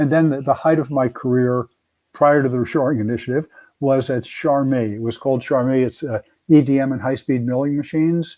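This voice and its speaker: A man with an American accent talks at medium pitch and a fairly quick pace, his intonation fairly even. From New Jersey, Elizabeth. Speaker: retired engineering executive, reshoring advocate. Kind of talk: interview. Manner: halting, repeats words.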